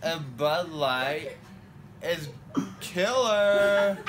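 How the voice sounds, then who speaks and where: A man speaks in a drawl. Loud background noise runs underneath. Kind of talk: casual drowsy chat. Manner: slurred, groggy drawl under anesthesia. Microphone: phone near.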